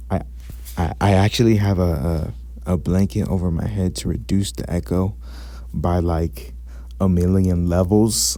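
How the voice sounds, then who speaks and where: Strained, dark and mellow male speech, very deep and low in pitch, with very wide pitch swings, a fairly slow pace and long, frequent pauses. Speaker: gaming YouTuber. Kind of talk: game commentary and breakdown. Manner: restrained volume. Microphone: blanket over head to reduce echo.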